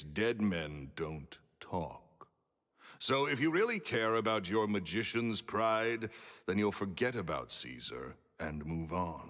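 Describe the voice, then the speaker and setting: A booming man's voice, fairly low in pitch, moves at a very slow pace with very wide pitch swings. The recording is very clean, with a silent background. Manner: curt, cold.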